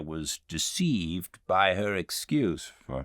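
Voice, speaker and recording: A man speaks in a very deep, low voice with a bright, sharp tone. The recording is very clean, with a silent background. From England. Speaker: actor and audiobook narrator. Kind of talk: audiobook reading of classic literature. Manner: calm, measured.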